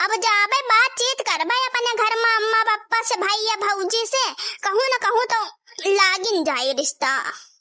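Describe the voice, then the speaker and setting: A cartoonish character voice that sounds female goes extremely high in pitch while keeping a moderate pace. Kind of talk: cartoon village comedy.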